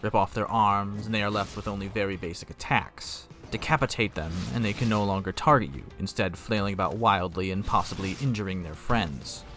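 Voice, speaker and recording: Music plays in the background as a man talks at a fairly quick pace. His pitch is fairly low, with ordinary variation. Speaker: gaming video essayist. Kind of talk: scripted narration. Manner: clearly enunciated.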